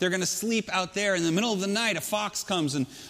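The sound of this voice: An unforced reading voice with ordinary pitch variation.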